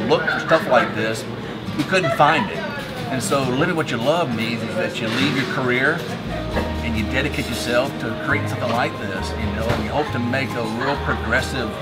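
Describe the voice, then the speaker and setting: Over loud background music, a man talks at a fairly quick pace. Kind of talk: interview answer. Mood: enthusiastic, earnest. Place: cafe.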